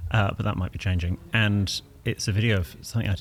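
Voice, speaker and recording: At a fairly quick pace, the speaker's voice comes across somewhat breathy. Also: man. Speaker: etiquette expert. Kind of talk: casual interview. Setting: backstage studio at a festival.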